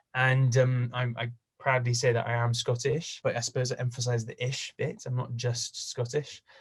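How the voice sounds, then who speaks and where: Speaking at a moderate pace with an English accent, a man sounds somewhat breathy, with medium pitch and monotone, flat intonation. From China. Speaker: bagpiper and travel video maker. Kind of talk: casual interview chat.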